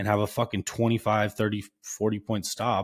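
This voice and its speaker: The recording is very clean and the background silent. A normal speaking voice goes at a fairly quick pace. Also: man. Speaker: day trader streaming live trades. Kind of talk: live trading stream commentary. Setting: live stream. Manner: casual, conversational.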